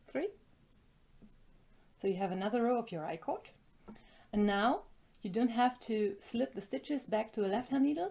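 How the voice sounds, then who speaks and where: Somewhat breathy, with a dark, mellow tone and a fairly high pitch, a woman with a German accent speaks with long, frequent pauses. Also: lively intonation, moderate pace. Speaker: knitting designer and yarn shop owner. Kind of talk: tutorial.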